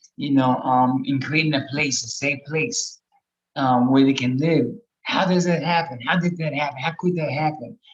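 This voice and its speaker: Moderately paced, somewhat breathy speech from a man with a fairly high pitch. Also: ordinary pitch variation. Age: 60s. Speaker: harm reduction housing advocate, panel guest. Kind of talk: personal testimony in a panel discussion. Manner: halting, heavy filler words.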